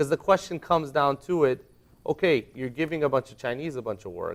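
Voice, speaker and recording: An ordinary speaking voice from a man with an American accent, fairly high-pitched with lively intonation, at a fairly quick pace, on a very clean recording with a silent background. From United States. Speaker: discussion guest. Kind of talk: discussion panel. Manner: casual.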